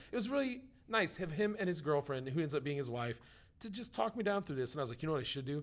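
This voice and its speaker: This man talks at a very fast pace with lively intonation. His pitch is fairly high. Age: middle-aged. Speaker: podcast host. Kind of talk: casual chat.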